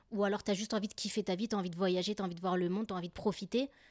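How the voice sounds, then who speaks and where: A woman speaks in an animated tone. The recording is very clean and silent behind her, with a dry, close sound and no echo. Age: 30s. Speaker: podcaster. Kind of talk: casual monologue.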